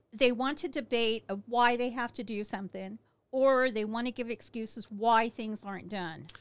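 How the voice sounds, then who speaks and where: A woman with a normal speaking voice, fairly high in pitch, at a moderate pace, in a very clean recording with a silent background. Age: 60s. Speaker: parent of the host, political guest. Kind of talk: heated debate.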